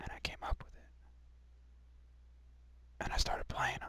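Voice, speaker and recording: Someone whispers with an American accent. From New York. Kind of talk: casual talk to camera. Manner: whispered.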